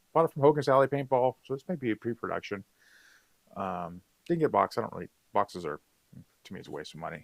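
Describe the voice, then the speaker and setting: A man at medium pitch with vocal fry and very wide pitch swings, very fast, in a dry, close sound with no echo. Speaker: paintball gear reviewer and livestreamer. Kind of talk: live stream product review. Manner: casual, hesitant with fillers.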